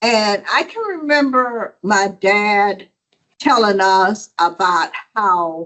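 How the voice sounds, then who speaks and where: A woman talks with a Southern US accent. Her pitch varies in an ordinary way. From South Georgia, US South. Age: 70s. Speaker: audience member. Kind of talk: audience question.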